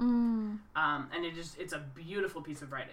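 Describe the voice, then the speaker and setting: A woman at a moderate pace with an Albertan accent. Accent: Canadian (Alberta). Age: 30s. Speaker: podcast co-host, teacher. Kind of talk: casual chat.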